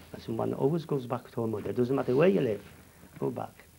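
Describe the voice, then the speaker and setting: The voice has a dark, mellow tone with vocal fry. It moves at a fairly quick pace. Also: man. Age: 70s. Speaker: Holocaust survivor. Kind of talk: testimony. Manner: halting.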